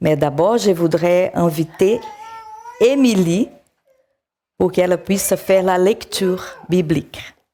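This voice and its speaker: A woman's medium-pitched, very slow delivery, with very even loudness, ordinary pitch variation and long, frequent pauses. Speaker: preacher. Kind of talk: sermon. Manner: halting.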